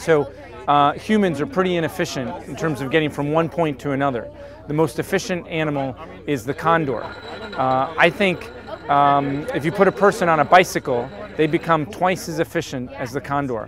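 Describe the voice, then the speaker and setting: Against noticeable background noise, a man speaks at a moderate pace with a dry sound and no echo. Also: ordinary pitch variation. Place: boat. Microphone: camera far.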